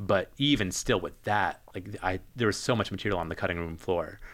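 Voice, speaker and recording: A man with an unremarkable speaking voice, fairly low pitch, a fairly quick pace and an American accent, on a very clean recording with a silent background. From New Jersey. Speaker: public health graduate student. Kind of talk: casual chat. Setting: studio.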